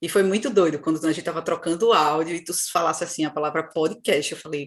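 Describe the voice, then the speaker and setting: A woman with a Pernambuco accent talks fairly quickly against a quiet background. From Brazil, Recife (Pernambuco). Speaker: podcast co-host. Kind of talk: casual chat.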